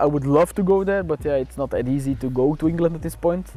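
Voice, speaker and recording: A man's fairly high voice at a fairly quick pace, with fairly even intonation and music in the background. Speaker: car owner. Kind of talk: casual interview monologue. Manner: halting, many fillers.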